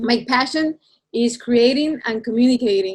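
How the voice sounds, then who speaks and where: A woman speaks with a Spanish accent. Her pitch is high. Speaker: illustrator. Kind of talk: presentation to students over video call. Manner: hesitant, repeats words.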